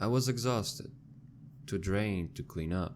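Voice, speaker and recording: With lively intonation and a moderate pace, a man talks over background music. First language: not English. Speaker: scary story narrator. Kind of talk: horror story narration.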